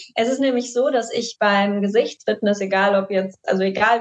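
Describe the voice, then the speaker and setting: A woman with an unremarkable speaking voice talks at a moderate pace, her fairly high pitch showing ordinary pitch variation. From Düsseldorf, Germany. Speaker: face yoga teacher. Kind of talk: podcast interview.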